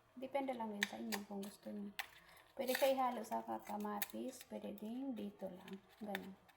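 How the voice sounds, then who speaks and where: A woman speaks at a moderate pace with noticeable noise behind her. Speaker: cooking vlogger. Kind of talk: cooking tutorial. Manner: casual, chatty.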